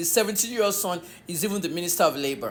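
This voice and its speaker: An animated woman with a Nigerian accent and very wide pitch swings. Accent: Nigerian (Yoruba) English. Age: 60s. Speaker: online media commentator. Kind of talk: political commentary monologue.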